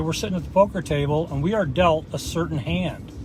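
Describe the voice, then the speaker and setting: Over noticeable background noise, a man with an American accent talks at a fairly quick pace with a fairly high pitch. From US Midwest, small-town Indiana. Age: 50s. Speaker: motivational vlogger. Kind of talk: motivational monologue. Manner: casual, filler-heavy.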